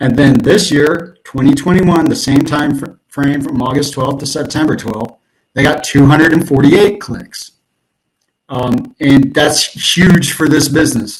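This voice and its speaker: The voice is somewhat breathy, with ordinary pitch variation and a fairly slow pace. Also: man, fairly high pitch for a man. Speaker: SEO consultant. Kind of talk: presentation. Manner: halting, many fillers.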